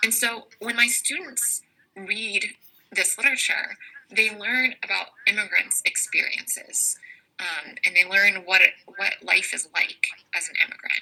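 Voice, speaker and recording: With an American accent, a woman speaks at a fairly slow pace. Her pitch is fairly high and varies in an ordinary way. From US South. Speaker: English teacher. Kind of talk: online class lesson. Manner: animated.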